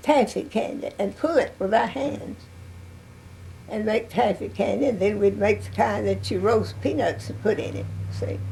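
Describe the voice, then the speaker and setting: A woman with an East Texas accent speaks at a moderate pace. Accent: East Texas Southern. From US South. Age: 90s. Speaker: oral history interviewee. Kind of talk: interview. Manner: halting.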